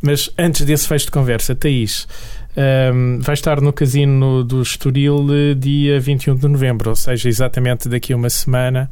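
Amid noticeable background noise and audible room echo, a man delivers his words at a moderate pace with monotone, flat intonation and very even loudness. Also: medium pitch for a man. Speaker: radio host. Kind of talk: radio interview.

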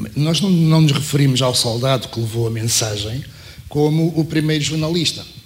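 Recorded with noticeable background noise and audible room echo, a man speaks at a moderate pace with a fairly high pitch and ordinary pitch variation. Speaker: former journalist and programmer. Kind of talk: panel talk. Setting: university auditorium panel.

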